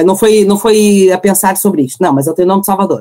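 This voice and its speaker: This is a woman at medium pitch. Her tone is dark and mellow. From Portugal, Porto. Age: 30s. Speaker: mother sharing birth stories. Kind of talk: personal testimony in casual interview.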